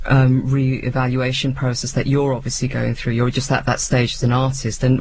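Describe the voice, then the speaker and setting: Over noticeable background noise, a man with an English accent speaks at a fairly quick pace. His pitch sits in the middle range. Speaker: radio presenter. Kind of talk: interview. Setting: radio studio.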